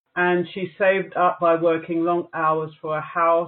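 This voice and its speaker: A woman with a British accent speaks at a fairly slow pace in a fairly low pitch. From England, Jamaican parents. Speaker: news editor and radio DJ. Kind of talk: interview.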